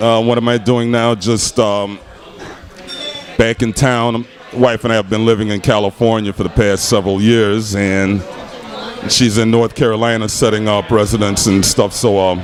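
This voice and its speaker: Noticeable background noise accompanies a man speaking at a moderate pace and fairly low pitch with a monotone, flat intonation. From Chicago. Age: 60s. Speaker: blues guitarist. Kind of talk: casual interview chat.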